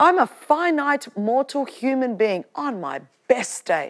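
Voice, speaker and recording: A woman speaks in an Australian accent at a high pitch and a very slow pace. Her tone is passionate and her intonation lively. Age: 50s. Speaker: preacher and podcast host. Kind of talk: sermon to a live church audience. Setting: church with audience. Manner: passionate, fervent, exhortative; humorous, chatty, with laughter.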